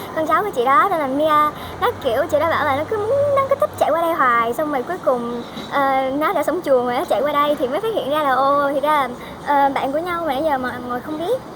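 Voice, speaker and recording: Noticeable background noise sits behind a woman's high-pitched voice. She speaks at a very fast pace. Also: ordinary pitch variation. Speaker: vlogger, international student. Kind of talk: casual vlog talk.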